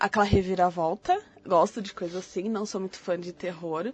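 A normal speaking voice, moderately paced, its pitch varying in an ordinary way. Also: woman. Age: 30s. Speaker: podcast co-host. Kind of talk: casual chat.

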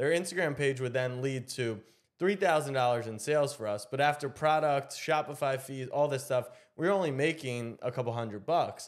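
The recording is very clean, with a silent background. A man with a fairly high pitch talks at a moderate pace with ordinary pitch variation. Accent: American. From Maryland, US. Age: 20s. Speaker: sports media founder. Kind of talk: casual interview. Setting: home office.

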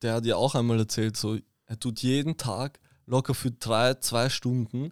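A man talks at a fairly slow pace with medium pitch and fairly even intonation, a plain, everyday voice. The very clean recording is dry and close with no echo and a silent background. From Vienna, Austria. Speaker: artist manager. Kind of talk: casual chat.

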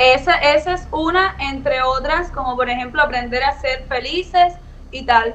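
A woman at a high pitch and fairly slow pace, with ordinary pitch variation and noticeable background noise. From Havana, Cuba. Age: 20s. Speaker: influencer. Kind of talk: interview.

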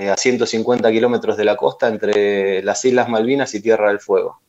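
A man with an Argentine accent. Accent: Rioplatense Argentine Spanish. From Argentina, Ensenada (Buenos Aires province). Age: 40s. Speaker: chef. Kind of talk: interview.

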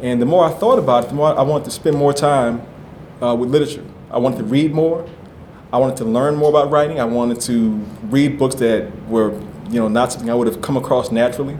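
There is audible room echo as a man speaks very fast at a medium pitch with fairly even intonation. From New Orleans. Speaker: novelist. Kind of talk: author interview before live audience.

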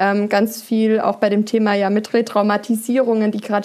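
Fairly high in pitch, a woman talks at a fairly quick pace. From southern Germany, Upper Swabia. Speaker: podcast host and coach. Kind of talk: casual interview. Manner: animated.

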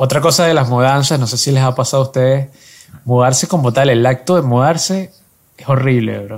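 A man talks at a fairly quick pace in a plain, everyday voice. His pitch sits in the medium range, with ordinary variation. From Venezuela. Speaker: podcast co-host. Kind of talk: casual chat.

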